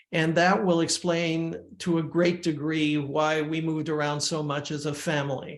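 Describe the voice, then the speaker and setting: Audible room echo surrounds a man with a fairly high pitch who speaks in a monotone, flat intonation. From Switzerland (Lausanne), multilingual upbringing. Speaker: folk rock musician. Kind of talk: interview. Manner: hesitant, many fillers.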